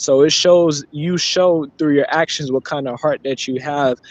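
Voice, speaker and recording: The sound is dry and close with no echo. A man with a plain, everyday voice and fairly high pitch talks at a moderate pace with fairly even intonation. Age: 20s. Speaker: family member. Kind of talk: family tribute speech.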